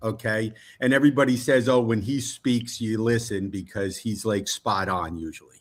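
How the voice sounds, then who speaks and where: With an unremarkable speaking voice, a man keeps a medium pitch, an ordinary amount of pitch variation, and a moderate pace. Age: 60s. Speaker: football fan, guest. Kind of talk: casual chat.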